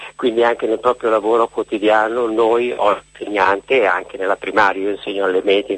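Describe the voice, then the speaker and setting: At a moderate pace, a man talks with monotone, flat intonation in a dry, close sound with no echo. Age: 60s. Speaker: middle school teacher. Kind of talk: phone-in call. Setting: phone call.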